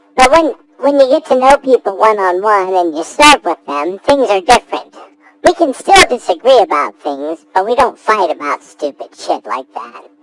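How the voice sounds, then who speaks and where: A put-on character voice, fairly high in pitch, with a deadpan tone, very wide pitch swings and a moderate pace. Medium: audio drama. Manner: earnest, deadpan.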